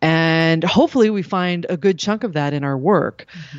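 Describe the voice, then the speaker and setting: Speaking at a fairly slow pace, a woman has an unremarkable speaking voice with a fairly low pitch. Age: 40s. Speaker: radio journalist. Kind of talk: interview.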